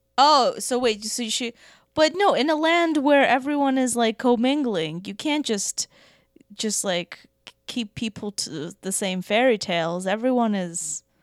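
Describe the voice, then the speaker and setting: A woman with a Russian accent speaks at a fairly slow pace, her pitch swinging very widely. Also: fairly high pitch for a woman, dry, close sound with no echo. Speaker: comedian. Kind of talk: casual chat.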